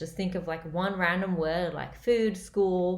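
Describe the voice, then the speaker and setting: A woman with an Australian accent, fairly low pitch, fairly even intonation and a moderate pace, amid audible room echo. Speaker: comedian. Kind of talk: casual vlog update.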